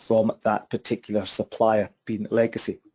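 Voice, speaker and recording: Over a quiet background, the speaker talks with a Scottish accent. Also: man. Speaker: property investment trainer. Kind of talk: webinar presentation. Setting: online webinar. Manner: fast.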